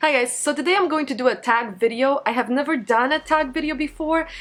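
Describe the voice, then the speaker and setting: Ordinary pitch variation marks a woman speaking at a fairly quick pace with a Polish accent. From Poland. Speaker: beauty vlogger. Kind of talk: casual vlog monologue. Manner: loud.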